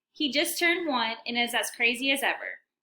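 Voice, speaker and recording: A woman's raised, projected voice, high-pitched, with a bright, sharp tone, an American accent and a moderate pace. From Texas (Allen, Llano). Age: 20s. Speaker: university student. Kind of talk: self-introduction video.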